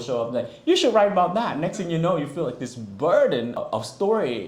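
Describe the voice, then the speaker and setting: A man's speech comes at a fairly quick clip, with room echo clearly audible around it. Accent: Vietnamese. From Vietnam. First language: Vietnamese. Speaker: author. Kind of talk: book talk and reading. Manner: casual, conversational with fillers.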